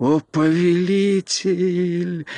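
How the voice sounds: Putting on a character voice, a man speaks very slowly with a high pitch and a dark, mellow tone. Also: fairly even intonation.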